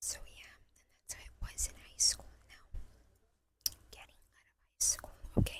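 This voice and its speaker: Someone is whispering at a moderate pace. Long pauses come often. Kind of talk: ASMR whisper ramble. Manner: whispered.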